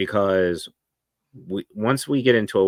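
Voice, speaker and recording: A man speaks with a Tennessee accent in a very deep, low pitch. The recording is very clean, with a silent background. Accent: Southern American (Tennessee). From US South, Memphis, Tennessee. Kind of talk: podcast interview.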